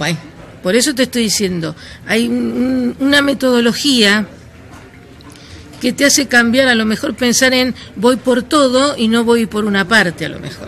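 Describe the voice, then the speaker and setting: Speaking at a moderate pace with long, frequent pauses, a woman has a fairly high pitch and ordinary pitch variation over noticeable background noise. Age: 60s. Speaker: anti-money-laundering expert. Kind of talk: interview. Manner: halting.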